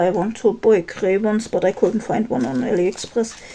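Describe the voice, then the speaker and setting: Someone with a German accent speaks at a fairly quick pace with ordinary pitch variation amid noticeable background noise. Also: woman. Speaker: K-pop collector vlogger. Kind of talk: casual chat while organizing photocards. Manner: halting.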